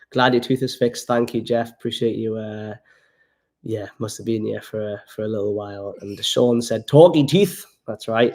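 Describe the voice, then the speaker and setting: A man with a Geordie accent talks at moderate pace and medium pitch with ordinary pitch variation, on a very clean recording with a silent background. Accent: Geordie, toned down. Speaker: travel vlogger. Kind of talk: casual livestream chat. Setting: home livestream by the fire.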